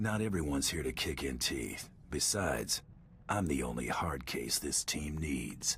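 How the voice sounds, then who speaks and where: Over clear background noise, a man puts on a character voice with a very deep, low pitch at a moderate pace. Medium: video game. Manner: curt, dry.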